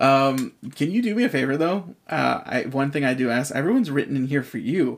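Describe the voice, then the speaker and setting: Speaking at a fairly quick pace, a man has a plain, everyday voice, fairly high pitch and lively intonation. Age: 20s. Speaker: podcast host. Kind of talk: casual interview chat. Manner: casual, chatty.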